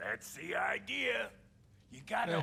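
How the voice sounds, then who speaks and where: The speaker uses a put-on character voice. It sounds raspy. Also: man. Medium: video game. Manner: sarcastic, streetwise.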